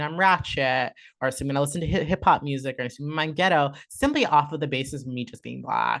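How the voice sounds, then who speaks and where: A woman speaks with a Southern Californian accent at a very fast pace, her pitch very deep and low. Her tone is animated, and the background is quiet. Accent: Orange County Valley Girl. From Southern California, Orange County. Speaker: content creator and artist. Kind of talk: casual interview chat. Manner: soft-spoken; animated, many fillers.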